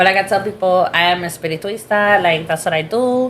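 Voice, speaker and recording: Someone talks very fast against noticeable background noise. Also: woman. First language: Spanish. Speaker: spiritualist reader. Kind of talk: casual chat.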